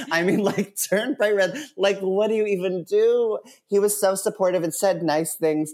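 A man with an American accent talks at a moderate pace in a high pitch. His tone is animated, with ordinary pitch variation and very even loudness. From rural Massachusetts. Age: 30s. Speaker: musical director. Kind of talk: casual chat.

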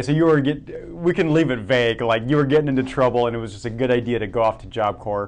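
A man with an American accent speaks at a medium pitch with ordinary pitch variation over noticeable background noise. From Germany and Oregon. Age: 30s. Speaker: podcast host. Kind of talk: casual interview chat.

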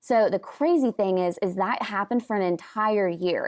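With an American accent, this unremarkable speaking voice keeps a moderate pace and ordinary pitch variation. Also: woman. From US Pacific Northwest, Washington. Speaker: church guest services director. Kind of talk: casual interview.

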